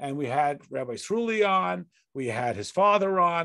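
Against a quiet background, a man with a high-pitched voice speaks at a moderate pace. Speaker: online class host. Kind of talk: casual interview. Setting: video call. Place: home room. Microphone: video call.

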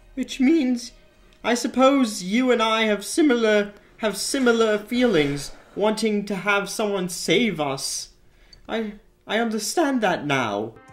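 In a put-on character voice, the speaker talks very slowly with fairly high pitch. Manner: manic, excitable.

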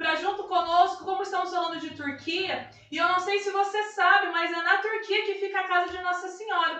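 The speaker talks at a fairly quick pace with hardly any pauses, in a flat monotone. There is audible room echo. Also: woman, extremely high pitch for a woman. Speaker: live stream host. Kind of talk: live stream talk and religious introduction. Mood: warm, devotional. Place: kitchen.

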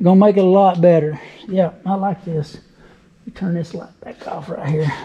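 Speaking at a moderate pace, a man uses a high pitch and fairly even intonation. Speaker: car show video host. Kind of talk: casual talk to camera. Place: garage. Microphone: phone near.

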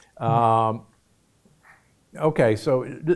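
At a very slow pace, a man speaks at a medium pitch. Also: ordinary pitch variation.

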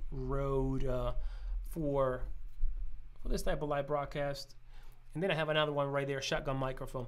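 The man's intonation stays monotone and flat as he talks. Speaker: gear reviewer. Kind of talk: tutorial. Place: studio.

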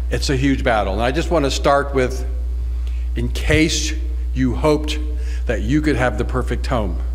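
A man is talking. His voice sits at a very deep, low pitch. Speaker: conference presenter. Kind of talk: lecture. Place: hall. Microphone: podium.

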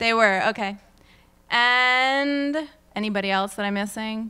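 A woman's voice has a bright, sharp tone. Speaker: presenter. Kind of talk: conference talk. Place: hall.

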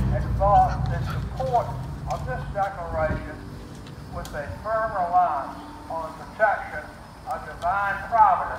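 A man with an American accent talks at a fairly slow pace, with long, frequent pauses and big swings in loudness. His pitch is high with ordinary variation, over noticeable background noise. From United States. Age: 80s+. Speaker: war veteran. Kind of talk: reading a historic document aloud to a gathering. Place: street. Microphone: camera far.

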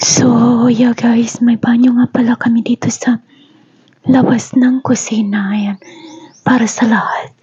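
Against noticeable background noise, a woman speaks at a fairly slow pace in a fairly high, monotone, flat voice with very even loudness. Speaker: vlogger, overseas worker. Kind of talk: house tour vlog. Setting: walking through own house.

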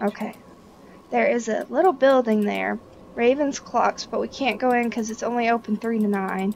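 A woman uses a normal speaking voice at a fairly high pitch. She keeps a moderate pace with ordinary pitch variation. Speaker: gaming video creator. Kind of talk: casual let's-play chat. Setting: voice chat recording across continents.

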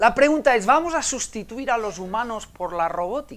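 With a bright, sharp tone and extremely high pitch, a man speaks at a fairly slow pace through very wide pitch swings. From Menorca, Spain; Spain. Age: 50s. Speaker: innovation consultant and conference speaker; conference speaker. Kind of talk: conference talk. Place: hall.

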